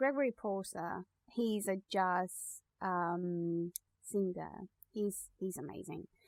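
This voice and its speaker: Someone with a Spanish accent talks at a very slow pace with ordinary pitch variation. The sound is dry and close, with no echo. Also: woman, medium pitch for a woman. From Spain. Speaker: podcast co-host. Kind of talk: casual chat.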